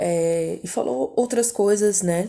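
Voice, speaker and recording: A dark, mellow tone with ordinary pitch variation, in a very clean recording over a silent background. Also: woman. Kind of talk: personal testimony. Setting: at home at night. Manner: soft-spoken; casual, hesitant.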